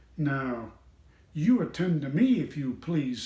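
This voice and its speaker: In a put-on character voice, a man talks at a fairly slow pace with lively intonation and a fairly high pitch, plus a slight echo on the recording. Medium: read story. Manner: stern, officious.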